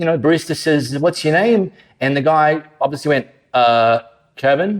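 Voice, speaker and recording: This man has a fairly high pitch and speaks in an Australian accent. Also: ordinary pitch variation, moderate pace, very clean recording, silent background. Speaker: pastor. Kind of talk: sermon. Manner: conversational.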